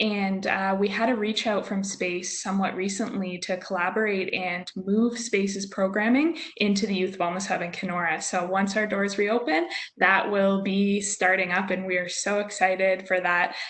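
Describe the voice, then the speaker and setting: Using a normal speaking voice, a woman talks at a medium pitch and a moderate pace, with fairly even intonation and hardly any pauses. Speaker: youth hub staff member. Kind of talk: webinar panel answer.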